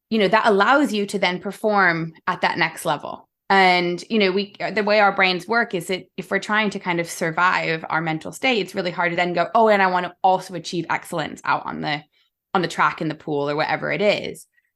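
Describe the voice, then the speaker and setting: A woman speaks at a fairly quick pace and a medium pitch, with a bright, sharp tone and ordinary pitch variation. The recording is very clean, with a silent background. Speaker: sport psychologist. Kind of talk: podcast interview.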